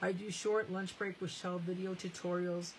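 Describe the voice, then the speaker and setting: A woman speaks at a fairly low pitch in a somewhat breathy voice. Her intonation is monotone and flat. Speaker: craft demonstrator. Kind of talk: live crafting tutorial.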